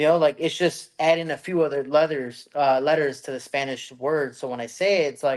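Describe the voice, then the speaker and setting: In a Chicago accent, a man with a fairly high pitch talks at a fairly quick pace with hardly any pauses and big swings in loudness. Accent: Chicago American English. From Chicago, US. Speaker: MMA fighter. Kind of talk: casual chat. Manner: animated.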